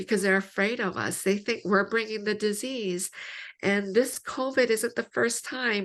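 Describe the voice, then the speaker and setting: Against a quiet background, a woman speaks in a plain, everyday voice with a fairly high pitch and ordinary pitch variation. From Canada. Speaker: theologian. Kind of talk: interview.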